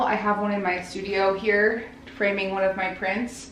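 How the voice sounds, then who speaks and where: Someone speaks with an American accent, and audible room echo and noticeable background noise are present in the recording. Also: woman. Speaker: artist vlogger. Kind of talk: casual vlog narration. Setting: art studio.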